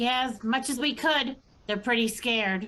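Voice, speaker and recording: A woman performs a put-on character voice pitched high. She keeps a moderate pace. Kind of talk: comic overacting. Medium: stage play.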